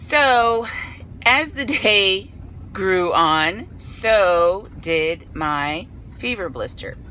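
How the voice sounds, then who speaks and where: At a very slow pace, a woman with a medium pitch makes very wide pitch swings, in a dry sound with no echo over light background noise. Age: 40s. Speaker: vlogger. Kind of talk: casual vlog storytelling while eating. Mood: animated, amused. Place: car. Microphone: phone near.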